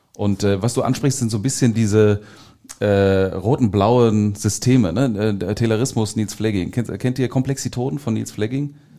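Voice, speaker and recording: At a moderate pace, the voice carries a dark, mellow tone and fairly even intonation in a very clean recording with a silent background. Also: man, fairly low pitch for a man. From Ruhr area, Germany (Gelsenkirchen). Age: 40s. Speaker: corporate-startup innovation consultant. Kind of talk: podcast interview.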